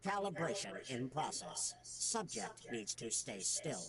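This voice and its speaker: Over loud background noise, a man uses a put-on character voice with a fairly high pitch at a fairly slow pace. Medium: video game. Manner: flat, clinical, literal.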